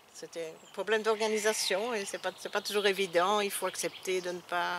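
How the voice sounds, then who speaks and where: A woman's medium-pitched voice, moderate in pace, with monotone, flat intonation. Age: 60s. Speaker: retired social worker. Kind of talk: interview. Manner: halting.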